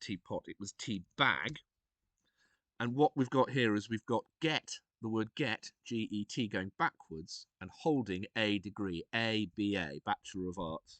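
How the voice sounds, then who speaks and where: Against a quiet background with a dry, close sound and no echo, a man with a British accent talks at a fairly slow pace and fairly low pitch, his intonation lively. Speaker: streamer. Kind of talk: tutorial. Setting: live stream. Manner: soft-spoken; hesitant.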